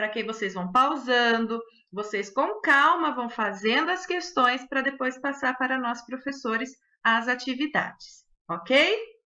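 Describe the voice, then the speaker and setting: In a quiet background, a woman with a high pitch and a bright, sharp tone talks in a raised, projected voice at a fairly slow pace. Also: lively intonation. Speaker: schoolteacher. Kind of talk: recorded online lesson.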